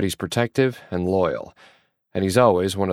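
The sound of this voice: Quiet backdrop, ordinary pitch movement, and an unforced reading voice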